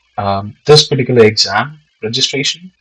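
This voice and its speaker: A man speaks with a non-native accent. His pitch is medium. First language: not English. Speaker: aspiring real estate agent, vlogger. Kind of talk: informational vlog. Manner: casual, with many fillers.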